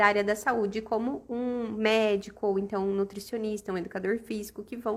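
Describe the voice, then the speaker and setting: The speech moves at a moderate pace. It is a normal speaking voice. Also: woman. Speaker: aesthetics educator. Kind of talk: live-stream lecture. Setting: live stream.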